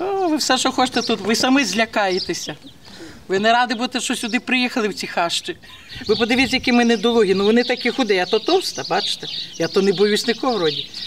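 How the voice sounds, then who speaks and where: A woman's fairly high, very fast voice with lively intonation over noticeable background noise. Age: 60s. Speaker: village resident. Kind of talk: casual chat.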